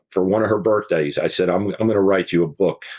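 A man with a plain, everyday voice, fairly low pitched, with an American accent and fairly even intonation. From New York State, Hudson Valley; Texas since 1976. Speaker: fire chief and author. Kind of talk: interview.

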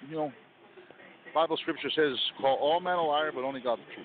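This man speaks at a moderate pace with a fairly high pitch. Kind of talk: casual talk show chat.

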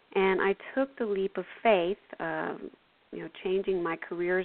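A woman with an ordinary speaking voice talks at medium pitch and a fairly slow pace, her intonation fairly even. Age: 50s. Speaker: intuitive counselor and spiritual radio show host. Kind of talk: spiritual talk with guided meditation and call-in readings. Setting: internet radio call-in show.

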